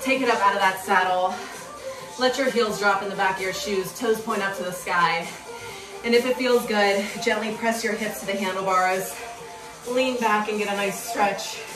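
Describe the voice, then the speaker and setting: Clear music plays in the background as a woman speaks at a moderate pace with fairly even intonation. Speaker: cycling instructor. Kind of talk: workout coaching cues. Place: home room. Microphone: camera far.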